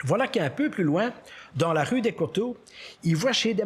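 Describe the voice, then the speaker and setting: This is a man's voice. His intonation is lively. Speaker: storyteller. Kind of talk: humorous fable reading.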